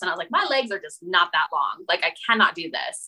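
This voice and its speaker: A woman speaks with a Western US accent and lively intonation. Her medium-pitched voice has a bright, sharp tone. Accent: American, Western US. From Utah, US. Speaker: boundary coach. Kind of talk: interview.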